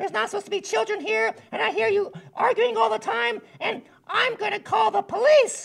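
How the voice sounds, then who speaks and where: This cartoonish character voice runs at a fairly quick pace, with extremely high pitch and very wide pitch swings. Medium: puppet.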